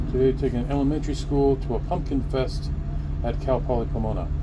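Loud background noise surrounds a man who speaks at a very fast pace. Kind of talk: casual vlog chat. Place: bus. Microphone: phone near.

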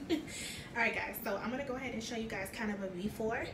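A woman talks at a moderate pace with ordinary pitch variation, noticeable background noise behind her. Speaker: home vlogger. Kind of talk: casual vlog chat. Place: bathroom. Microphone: phone near.

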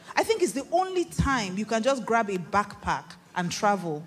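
In a Nigerian accent, this somewhat breathy, animated voice moves at a moderate pace with very wide pitch swings. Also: woman. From Nigeria, Igbo-speaking region. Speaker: pastor. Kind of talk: sermon. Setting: stage with audience. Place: stage. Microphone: handheld.

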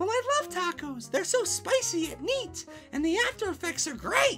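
A put-on, female-sounding character voice at an extremely high pitch for a woman swings very widely in pitch. The pace is moderate, with clear music in the background. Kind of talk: comic overacting. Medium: read story. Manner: bubbly, giggly, pleading.

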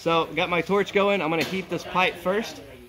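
Noticeable background noise can be heard as a man speaks. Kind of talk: tutorial. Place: home room.

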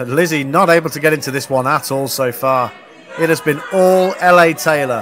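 Noticeable background noise sits behind a man whose voice is pitched fairly high. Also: ordinary pitch variation, moderate pace. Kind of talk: live wrestling commentary. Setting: ringside at a live event.

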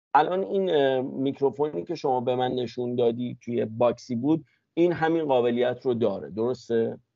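A man talks at a moderate pace with hardly any pauses and ordinary pitch variation. The sound is dry with no echo and the background is quiet. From Iran. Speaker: interviewer. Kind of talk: casual interview chat. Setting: video call. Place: home room. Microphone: lapel.

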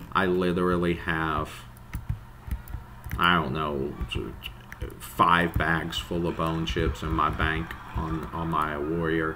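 A man talks slowly at an extremely low pitch, with little pitch movement. His tone is bright and sharp, broken by long, frequent pauses.

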